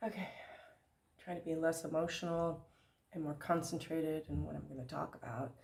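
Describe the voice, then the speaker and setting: This woman with an American accent talks at a fairly quick pace with vocal fry, fairly even intonation and long, frequent pauses. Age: 60s. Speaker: vlogger and theater director. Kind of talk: casual vlog.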